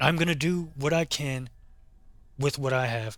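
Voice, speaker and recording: Over music in the background, a man talks at a moderate pace at a fairly high pitch with ordinary pitch variation. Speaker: gaming YouTuber. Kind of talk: casual gameplay commentary outro. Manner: halting, repeats words; informal, casual.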